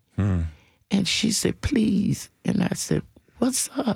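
Her American accent carries a dark, mellow tone and vocal fry, as this woman speaks very slowly at a medium pitch with ordinary pitch variation. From US South, Nashville. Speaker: civil rights activist. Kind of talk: testimony.

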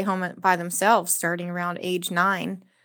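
In a plain, everyday voice with an American accent, a woman speaks at a moderate pace and medium pitch on a very clean recording with a silent background. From South Texas. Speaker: restaurant server and labor organizer. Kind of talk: radio interview.

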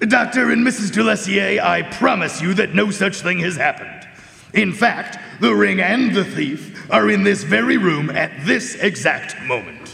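A man's put-on character voice, high-pitched, at a moderate pace, with light background noise. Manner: polite, precise, deliberate.

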